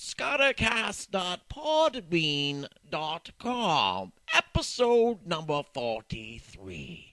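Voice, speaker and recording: At a very slow pace, a man puts on a character voice with a high pitch. The sound is dry and close with no echo. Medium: audio drama. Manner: hesitant, bureaucratic.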